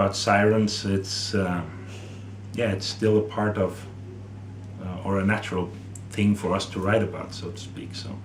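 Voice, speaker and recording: A man in a Norwegian accent speaks at a moderate pace and fairly low pitch with flat, monotone intonation and long, frequent pauses, amid noticeable background noise and audible room echo. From Norway. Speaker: metal musician and songwriter. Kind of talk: interview. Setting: music festival. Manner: hesitant, with fillers.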